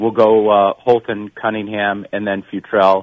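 A man uses a normal speaking voice at a medium pitch. His pace is moderate. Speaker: college baseball coach. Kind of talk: radio interview.

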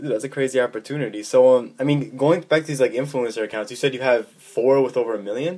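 Very fast and with hardly any pauses, a man speaks at a medium pitch with ordinary pitch variation. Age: young. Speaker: podcast host. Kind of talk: casual interview.

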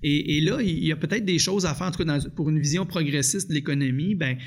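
This man has a Quebec accent and a fairly high pitch. He talks at a fairly quick pace. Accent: Québécois French. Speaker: union economist. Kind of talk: interview. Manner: halting, frequent repetitions.

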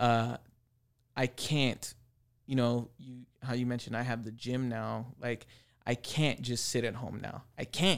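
An unremarkable speaking voice with fairly even intonation and a fairly slow pace, on a very clean recording with a silent background. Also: man, medium pitch for a man. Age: 30s. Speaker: tattoo artist. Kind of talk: casual chat.

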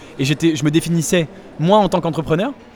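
A man's high-pitched voice over noticeable background noise. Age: 20s. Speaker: startup investor. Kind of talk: interview. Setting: startup incubator in Paris.

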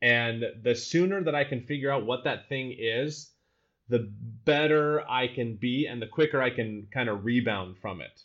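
With an American accent, a man in an unremarkable speaking voice talks at a moderate pace and medium pitch, with ordinary pitch variation. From Utah, US. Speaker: solutions architect and teacher. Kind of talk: casual interview. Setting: living in Amsterdam.

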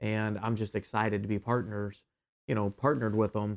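In a plain, everyday voice, a man with an American accent speaks at a moderate pace and fairly low pitch, on a very clean recording with a silent background and a dry, close sound with no echo. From Ohio, US Midwest. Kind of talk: interview. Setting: studio.

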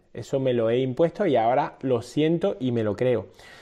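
Speaking at a moderate pace, a man with a fairly high pitch and a dark, mellow tone uses ordinary pitch variation. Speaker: fitness coach and podcast host. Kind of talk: casual interview chat. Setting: video call stream.

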